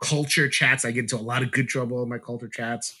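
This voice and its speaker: A man's bright, sharp tone at a medium pitch. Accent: New York. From US Northeast, Brooklyn, New York. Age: 40s. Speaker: board game YouTuber and podcaster. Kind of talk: casual chat.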